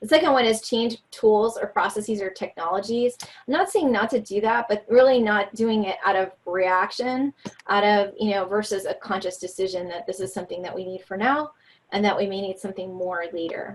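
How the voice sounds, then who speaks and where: A woman's medium-pitched voice with an American accent, fairly quick in pace, with ordinary pitch variation. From New York. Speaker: leadership speaker. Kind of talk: webinar presentation. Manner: fast.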